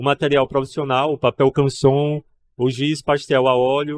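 A man talks at a moderate pace, with light noise behind him. The sound is dry, with no echo. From Paraíba, Brazil (João Pessoa); Paraíba, Brazil. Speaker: painter and artist; guest. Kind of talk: interview at a trade fair. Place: studio. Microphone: studio mic.

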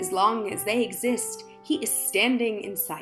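Music plays behind the speaker. A woman talks very slowly. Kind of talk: spoken word poetry reading.

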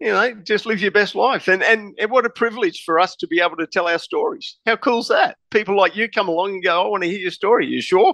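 A man with an Australian accent talks at a very fast pace, his pitch high and his tone bright and sharp. The sound is dry and close, with no echo. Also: ordinary pitch variation. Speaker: private investigator and author. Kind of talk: interview.

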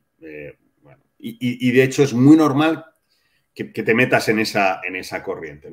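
Against a quiet background, a man speaks with a Castilian accent. His intonation is lively and his pace moderate. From Spain. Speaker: father of adoptive family; interview guest. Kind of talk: interview. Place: home room.

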